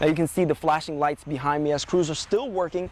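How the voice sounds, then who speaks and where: In a plain, everyday voice, a man talks with a fairly high pitch and ordinary pitch variation. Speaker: TV news reporter. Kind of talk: TV news report.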